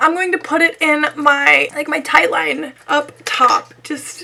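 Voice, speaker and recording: In a raised, projected voice, a woman speaks at a fairly slow pace. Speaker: beauty vlogger. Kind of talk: casual talk to camera.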